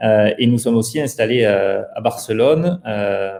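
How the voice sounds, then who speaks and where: Speech with a slight southern French accent and ordinary pitch variation. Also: man. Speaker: startup founder. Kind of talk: interview.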